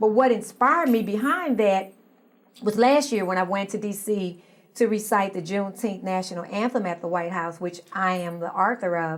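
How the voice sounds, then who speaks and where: In a normal speaking voice with an American accent, the speaker keeps a moderate pace and ordinary pitch variation. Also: woman, medium pitch for a woman. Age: 60s. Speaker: social activist. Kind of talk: interview.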